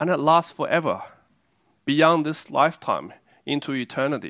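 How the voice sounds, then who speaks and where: This recording is very clean, and its background is silent. An Australian accent comes through. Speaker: preacher. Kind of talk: sermon. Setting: church. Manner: halting.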